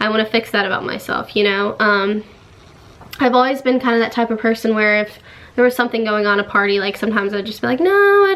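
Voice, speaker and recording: Using an ordinary speaking voice, a woman talks with a fairly high pitch. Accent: American. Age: young. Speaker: YouTuber. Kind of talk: casual talk to camera. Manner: upbeat.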